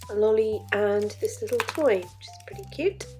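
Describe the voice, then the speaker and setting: A woman talks at a moderate pace. Music can be heard in the background. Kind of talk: casual product review to camera.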